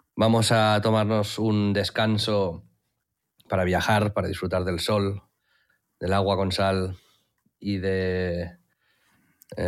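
Very slowly, a man speaks in a fairly low pitch. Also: very clean recording, silent background. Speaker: podcast co-host. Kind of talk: casual chat.

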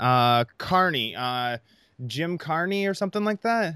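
A man's unremarkable speaking voice, fairly high in pitch with lively intonation and an American accent, in a dry, close sound with no echo on a very clean recording with a silent background. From US Midwest, Iowa. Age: 30s. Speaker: podcast host. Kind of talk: casual interview.

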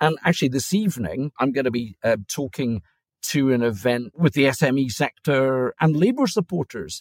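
On a very clean recording with a silent background and a dry, close sound with no echo, a man with an Aberdeen accent speaks at a moderate pace with lively intonation and a fairly high pitch. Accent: Scottish (Aberdeen). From Aberdeen, Scotland. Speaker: lobbying firm founder. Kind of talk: casual chat.

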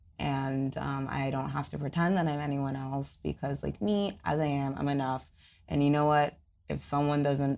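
Very clean audio against a silent background, delivered at a fairly slow pace. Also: woman. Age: 20s. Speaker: podcaster and fashion influencer. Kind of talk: casual chat.

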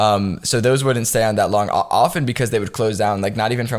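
A man with an American accent, fairly low in pitch with ordinary variation, at a very fast pace. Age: 20s. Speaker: entrepreneur. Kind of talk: casual interview.

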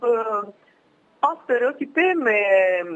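A woman speaks very slowly in an Italian accent, her pitch fairly high. Her voice swings very widely up and down. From northern Italy, Milan. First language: Italian (speaking French). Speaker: former exchange student. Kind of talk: interview. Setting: phone call.

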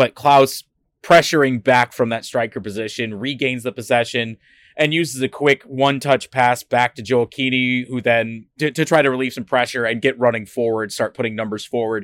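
In an ordinary speaking voice, a man of medium pitch talks at a moderate pace with fairly even intonation. The recording is very clean, with a silent background and a dry, close sound with no echo. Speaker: podcast co-host. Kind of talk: casual chat. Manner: jokey.

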